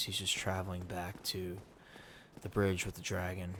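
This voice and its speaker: A soft-spoken man talks at a moderate pace with music in the background. His very deep, low voice stays monotone and flat. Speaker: ASMR gaming channel host. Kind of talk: casual relaxed talk to the audience, out of role. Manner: soft-spoken, relaxing.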